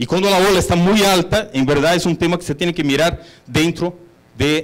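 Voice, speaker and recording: A man speaks with a Brazilian accent. His voice is high in pitch. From Brazil, São Paulo (born in Bolivia). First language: Portuguese (speaking Spanish). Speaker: hotel executive. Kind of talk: conference talk.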